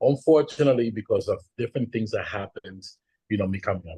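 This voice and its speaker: Male speech, somewhat breathy, with everyday rises and falls in pitch. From Dominican Republic. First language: Spanish. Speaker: panelist. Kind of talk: panel discussion.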